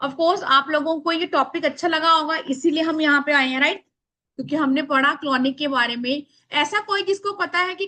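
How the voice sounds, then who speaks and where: Raised and projected, a woman's extremely high-pitched voice has a bright, sharp tone, a moderate pace and ordinary pitch variation. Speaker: spiritual workshop teacher. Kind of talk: online workshop class. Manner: loud.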